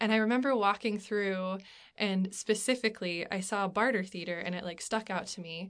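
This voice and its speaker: A woman speaks with an American accent in a normal speaking voice, at a moderate pace. Her medium pitch shows ordinary variation against a quiet background. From Alaska, US. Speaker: stage actor. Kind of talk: interview.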